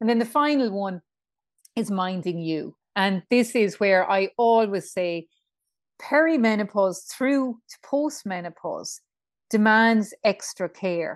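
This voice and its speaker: With an Irish accent, a woman speaks at a medium pitch and a moderate pace, with ordinary pitch variation against a quiet background. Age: 50s. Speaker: menopause coach. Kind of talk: casual chat.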